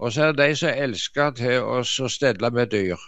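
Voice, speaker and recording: A man speaks with lively intonation. His voice carries vocal fry. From Norway, Jæren (Rogaland). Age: old. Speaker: artist and preacher. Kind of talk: radio conversation, devotional reflection. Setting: phone or computer call from home living room.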